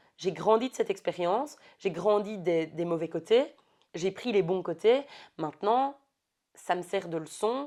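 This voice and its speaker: A woman's dark, mellow voice at medium pitch, with lively intonation and a fairly slow pace. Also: long, frequent pauses, big swings in loudness. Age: 30s. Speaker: podcast guest. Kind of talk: casual chat.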